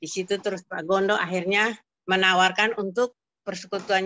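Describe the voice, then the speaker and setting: A woman speaks at a moderate pace in a medium pitch. It is an ordinary speaking voice. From Kupang, East Nusa Tenggara, Indonesia. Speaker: prayer fellowship member. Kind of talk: testimony. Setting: video call.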